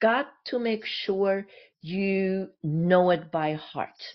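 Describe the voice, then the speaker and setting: Speaking with a German accent, a woman uses lively intonation. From Germany. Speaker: communication coach and speaker, former actress. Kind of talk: interview.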